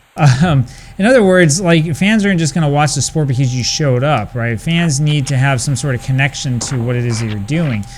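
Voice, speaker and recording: A man talks at a fairly quick pace in an American accent. His medium pitch shows ordinary pitch variation over noticeable background noise. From United States. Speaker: retro gaming video creator. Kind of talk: gameplay commentary with casual talk. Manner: hesitant, many fillers.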